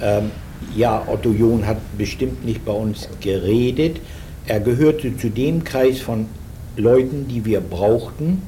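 Room echo is audible as a man speaks at a very slow pace. His pitch is medium, with ordinary variation. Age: 60s. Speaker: former wartime propaganda radio journalist. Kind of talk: oral history interview. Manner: halting, with frequent fillers.

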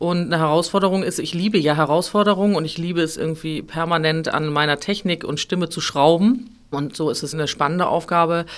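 Speaking in a normal speaking voice, a woman with fairly low pitch goes at a fairly quick pace with hardly any pauses and ordinary pitch variation, on a very clean recording with a silent background. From northern Germany, near Hamburg. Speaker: opera singer. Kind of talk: interview.

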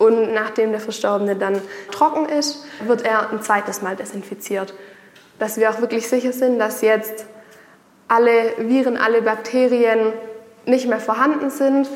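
Over noticeable background noise, a woman with fairly high pitch and fairly even intonation talks at a fairly slow pace, with long, frequent pauses. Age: 20s. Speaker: funeral director. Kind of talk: explanatory interview. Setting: on location at a funeral home.

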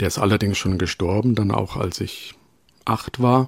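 In a normal speaking voice, a man talks at a moderate pace and fairly low pitch with fairly even intonation, the sound dry and close with no echo. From Rhön, Germany. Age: 40s. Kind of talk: interview. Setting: remote call from home.

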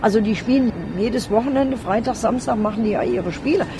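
The speech comes at a very fast pace with ordinary pitch variation against noticeable background noise. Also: woman. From Hesse, Germany. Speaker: football coach. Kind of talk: interview.

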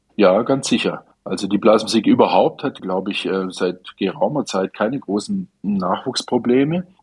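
A man talks at a medium pitch and a moderate pace, with hardly any pauses. He has a normal speaking voice. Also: lively intonation. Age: 60s. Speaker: brass band conductor and musician. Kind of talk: radio interview. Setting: remote line.

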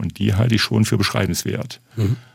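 Here a man speaks with a fairly low pitch. His intonation stays fairly even. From Thuringia, eastern Germany. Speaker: literature professor. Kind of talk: radio interview.

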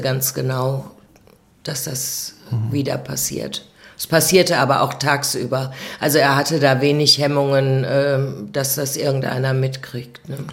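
Very deep and low, a woman speaks at a fairly slow pace in a monotone, flat intonation. Noticeable background noise and audible room echo come through. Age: 60s. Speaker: abuse survivor. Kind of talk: testimony. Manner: halting.

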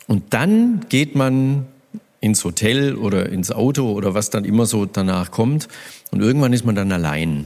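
With a plain, everyday voice, a man speaks at a fairly slow pace and a fairly low pitch, using lively intonation. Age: 50s. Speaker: radio host. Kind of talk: live stage interview. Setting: stage with audience.

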